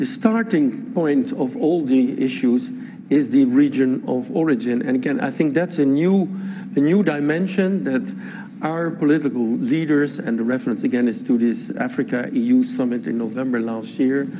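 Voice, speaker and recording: A man speaks at a fairly high pitch with very wide pitch swings. Noticeable background noise and audible room echo surround him. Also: moderate pace. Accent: Dutch. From Netherlands. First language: Dutch. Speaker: law professor. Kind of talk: lecture.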